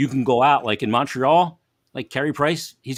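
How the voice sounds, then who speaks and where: A man at medium pitch with vocal fry and a fairly quick pace, in a dry, close sound with no echo on a very clean recording with a silent background. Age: 50s. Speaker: hockey broadcaster. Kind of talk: casual chat.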